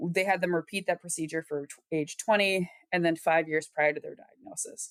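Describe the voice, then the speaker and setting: A woman with a Wisconsin accent talks at a fairly low pitch and a fairly quick pace. Her pitch varies in an ordinary way, and the sound is dry and close with no echo. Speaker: epidemiology researcher. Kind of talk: interview. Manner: conversational, some repetitions and false starts.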